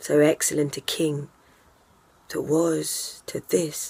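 Speaking at a very slow pace, a woman is heard. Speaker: stage actor. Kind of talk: Shakespeare monologue performance. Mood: weary, bitter, grieving. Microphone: phone near.

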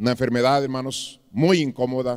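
Against a quiet background, a man is talking. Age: 50s. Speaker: pastor. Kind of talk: sermon. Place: church. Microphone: handheld.

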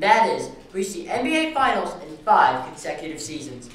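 Audible room echo follows a man whose extremely high pitch swings very widely. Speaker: sports broadcaster. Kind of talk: sports rant and anchoring segment. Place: studio.

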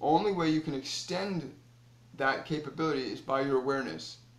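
A man speaks with fairly even intonation. Audible room echo surrounds his voice. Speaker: spiritual teacher. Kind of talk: spiritual talk to viewers. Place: home room. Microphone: phone near.

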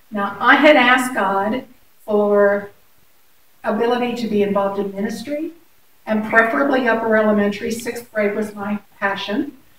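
Pausing long and often, a woman speaks at a moderate pace with a fairly high pitch and fairly even intonation, amid audible room echo and light background noise. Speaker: teacher. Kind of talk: interview. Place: meeting room. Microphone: camera far.

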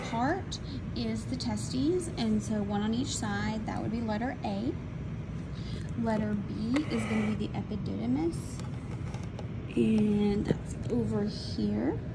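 Speech moves at a very slow pace. Loud background noise runs underneath. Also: woman. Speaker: college science instructor. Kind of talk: anatomy lab walkthrough. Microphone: phone near.

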